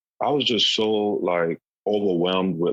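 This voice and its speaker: Speaking at a moderate pace, this man has a very deep, low pitch and fairly even intonation. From US South, South Carolina. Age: 40s. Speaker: stand-up comedian. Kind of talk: interview.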